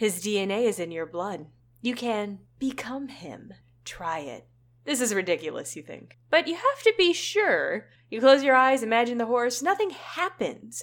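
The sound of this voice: Amid noticeable background noise, a woman speaks at a moderate pace in a high pitch with an animated, theatrical tone, very wide pitch swings, and big swings in loudness.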